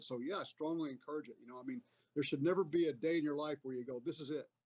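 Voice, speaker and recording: With a normal speaking voice, a man talks in a fairly high pitch with ordinary pitch variation, the sound dry and close with no echo. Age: 60s. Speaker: army veteran. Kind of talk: casual interview chat.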